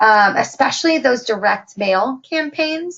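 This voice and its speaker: Her intonation lively, a woman talks in a high voice. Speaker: software trainer. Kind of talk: webinar tutorial. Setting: online webinar broadcast. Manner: hesitant, many fillers.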